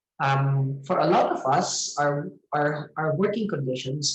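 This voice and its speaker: A man with an unremarkable speaking voice talks at a fairly high pitch. His pace is fairly slow, with ordinary pitch variation. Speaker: theatre festival curator. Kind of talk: online lecture.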